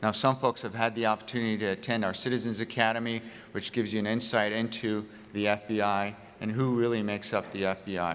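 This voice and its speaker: This man talks at a very fast pace in a fairly low pitch. His intonation is monotone and flat. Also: very clean recording, silent background. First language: not English. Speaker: FBI office head giving a public speech. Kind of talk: public speech. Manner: hesitant, many uh fillers.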